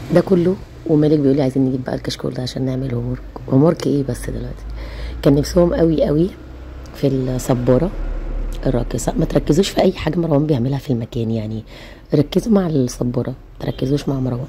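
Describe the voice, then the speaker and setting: Over noticeable background noise, a woman with an Egyptian accent speaks at a fairly quick pace in a very deep, low pitch with ordinary pitch variation. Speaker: family vlogger, mother. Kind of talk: vlog voiceover narration. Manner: casual, chatty.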